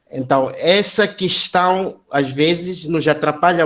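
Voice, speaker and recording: This man speaks with a Mozambican accent and a high-pitched voice. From Mozambique. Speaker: academic. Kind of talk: seminar discussion comment. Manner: halting, many fillers and repetitions.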